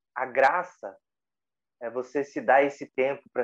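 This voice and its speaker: A man's medium-pitched voice at a very slow pace, with a dry, close sound and no echo. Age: 30s. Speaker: meditation teacher. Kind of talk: casual chat.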